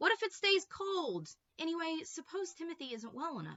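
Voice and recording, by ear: At a moderate pace, a woman does a put-on character voice at an extremely high pitch, fairly bright in tone with big pitch swings.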